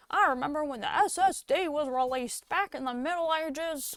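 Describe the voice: A female-sounding, put-on character voice, high in pitch, moves along at a moderate pace.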